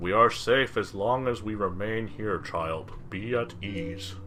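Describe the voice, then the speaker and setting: In a put-on character voice, a man speaks at a fairly slow pace with a fairly low pitch over clear background noise. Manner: soothing, reassuring.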